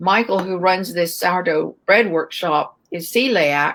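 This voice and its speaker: A woman's fairly low voice at a fairly slow pace, an unremarkable speaking voice. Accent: American. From United States. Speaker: baker and bread educator. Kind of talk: interview. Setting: live stream.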